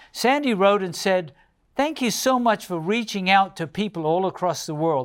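A man's high-pitched voice with lively intonation at a moderate pace, on a very clean recording with a silent background. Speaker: pastor and show host. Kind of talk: Bible study discussion. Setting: studio.

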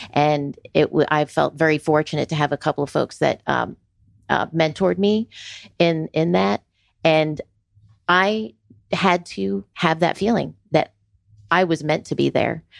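Speaking with an American accent, a woman uses a very deep, low pitch, a fairly slow pace, and long, frequent pauses at very even loudness. The sound is dry and close with no echo over a quiet background. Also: lively intonation. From New York City and Florida. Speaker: engineering firm business developer. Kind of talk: radio panel interview. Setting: radio studio.

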